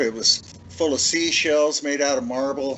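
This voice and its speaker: With an American accent, a man talks while noticeable background noise carries on. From northeast Oregon. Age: 70s. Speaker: bigfoot witness. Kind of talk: interview, personal story.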